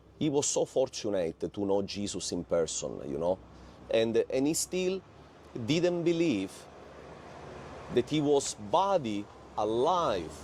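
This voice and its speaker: A man with a Sicilian accent speaks at a very slow pace, pausing long and often. His pitch is medium and swings very widely. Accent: Sicilian Italian accent in English. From Italy, Palermo. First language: Italian. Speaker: former satanist giving testimony. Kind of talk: testimony.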